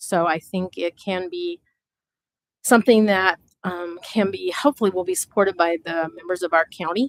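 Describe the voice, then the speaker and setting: A woman with an Upper Midwest accent speaks at a moderate pace and medium pitch with ordinary pitch variation, the sound dry and close with no echo. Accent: Upper Midwest American. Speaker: citizen committee member. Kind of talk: public meeting remarks. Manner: loud.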